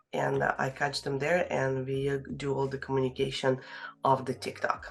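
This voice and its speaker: With a non-native accent, a woman talks at a moderate pace. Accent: foreign accent, noticeable. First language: Russian. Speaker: real estate agent. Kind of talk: interview. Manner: halting, many fillers.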